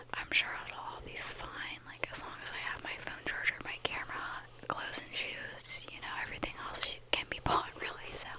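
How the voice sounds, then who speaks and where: The speaker whispers at a moderate pace, with noticeable background noise behind. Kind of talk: ASMR casual talk to camera. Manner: whispered.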